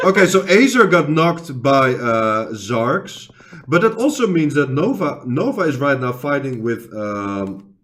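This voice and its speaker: A man's fairly high voice with a non-native accent and very wide pitch swings. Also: fairly slow pace. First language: not English. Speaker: esports caster, channel owner. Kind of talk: live commentary. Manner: halting.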